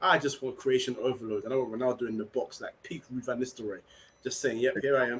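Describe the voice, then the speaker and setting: A man's medium-pitched voice with a London accent at a very fast pace. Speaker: football podcast panelist. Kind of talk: casual chat. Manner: animated.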